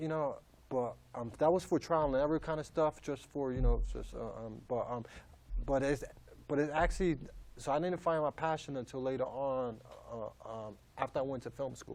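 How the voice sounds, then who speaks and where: With ordinary pitch variation, a fairly high-pitched man talks at a moderate speed. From New York. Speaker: comedian. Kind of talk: interview. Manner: halting, many fillers.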